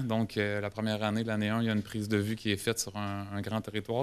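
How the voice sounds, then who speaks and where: A man with a Quebec accent and a fairly low pitch speaks at a fairly quick pace on a very clean recording with a silent background. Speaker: government geomatics specialist. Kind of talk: conference presentation. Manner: halting, many hesitations and repetitions.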